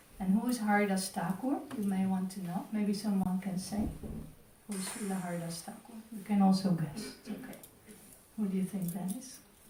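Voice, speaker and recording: A woman speaks at a moderate pace with fairly even intonation and big swings in loudness. Audible room echo and noticeable background noise fill the recording. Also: medium pitch for a woman. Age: 60s. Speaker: temple class speaker. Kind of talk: religious class.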